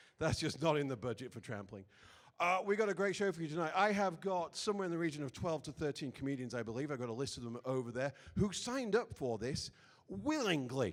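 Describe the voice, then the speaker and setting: Very fast delivery with very wide pitch swings. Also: man, fairly high pitch for a man. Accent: British. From Britain. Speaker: comedy show host. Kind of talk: stand-up hosting. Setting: stage with audience. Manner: halting.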